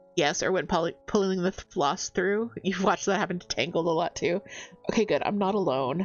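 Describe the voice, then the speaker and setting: A woman speaks at a fairly quick pace while music plays in the background. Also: medium pitch for a woman, ordinary pitch variation. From Canada, East Coast family background. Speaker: cross-stitch streamer. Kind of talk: casual livestream chat. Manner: relaxed, chatty.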